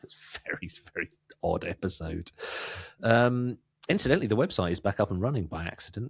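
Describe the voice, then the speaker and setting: A somewhat breathy man at a fairly low pitch, with lively intonation, big swings in loudness, a fairly quick pace and long, frequent pauses, in a dry, close recording with no echo. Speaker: podcast host. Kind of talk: casual chat.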